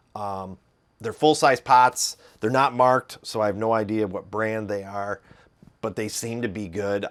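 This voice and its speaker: In a very clean recording with a silent background, a man with a Midwestern accent talks at a moderate pace and fairly low pitch, with ordinary pitch variation and big swings in loudness. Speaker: guitar reviewer. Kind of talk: tutorial. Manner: halting.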